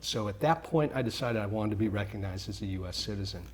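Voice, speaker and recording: Noticeable background noise sits behind a man with a fairly low pitch. He speaks at a very fast pace with ordinary pitch variation. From Mexico City, raised in US from age 3-4. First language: Spanish. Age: 50s. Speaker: business owner, real estate CEO. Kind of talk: casual interview.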